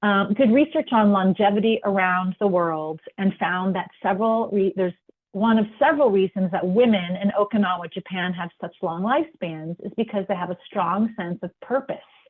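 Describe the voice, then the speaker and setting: A woman speaks in an unremarkable speaking voice at medium pitch. Her pace is moderate and her pitch variation ordinary. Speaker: wellness webinar presenter. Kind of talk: webinar presentation. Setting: online webinar with sign language interpreter.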